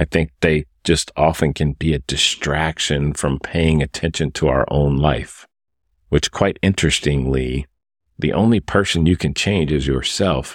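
A man speaks with a very deep, low pitch, vocal fry and ordinary pitch variation. His pace is fairly slow, and the sound is dry and close with no echo. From moved around as military child; high school in Oklahoma. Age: 50s. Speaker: executive coach. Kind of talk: solo podcast monologue.

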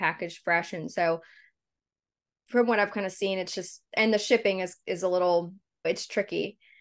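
Against a quiet background, a woman with an American accent speaks at a fairly quick pace in an ordinary speaking voice. Her pitch is medium with ordinary variation. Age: 30s. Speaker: meal delivery business owner. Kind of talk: interview. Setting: video call.

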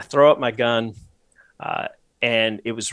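On a very clean recording with a silent background, a man speaks at medium pitch and a moderate pace with lively intonation, the sound dry and close with no echo. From New England, US Northeast. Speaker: hunter. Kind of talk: casual interview.

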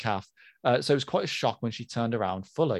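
At a very fast pace and with lively intonation, a man speaks in a British accent, very cleanly recorded against a silent background. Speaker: podcast co-host. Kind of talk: casual chat. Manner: animated.

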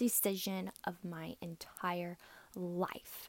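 In an American accent, a woman speaks with an animated tone. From South Carolina, US South. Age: 20s. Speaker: podcast host, essential oils distributor. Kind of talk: casual monologue.

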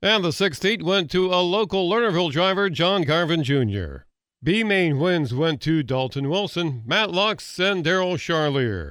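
Against a quiet background, a man with a high pitch talks at a fairly slow pace with lively intonation, hardly any pauses and very even loudness. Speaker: racing results reporter. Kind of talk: news reading.

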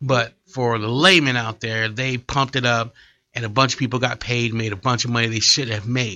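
Using a normal speaking voice, a man talks at a medium pitch with fairly even intonation. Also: moderate pace. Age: 40s. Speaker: comedian. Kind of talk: casual chat. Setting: studio.

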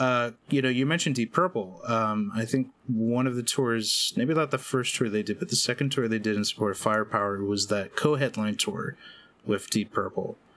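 This man speaks at a moderate pace in an ordinary speaking voice, medium in pitch, with ordinary pitch variation and very even loudness. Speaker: podcast host. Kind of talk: casual chat about metal.

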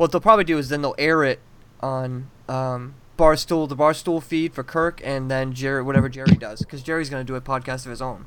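With an American accent, a man talks in a plain, everyday voice at a fairly high pitch and a fairly quick pace, showing ordinary pitch variation and big swings in loudness. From Massachusetts. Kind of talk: casual chat.

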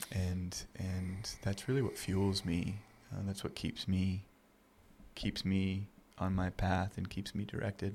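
A man speaks at a very slow pace in a very deep, low voice. His delivery is somewhat breathy, with monotone, flat intonation. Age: 30s. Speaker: nonprofit founder and outdoor mentor. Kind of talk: interview. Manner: halting.

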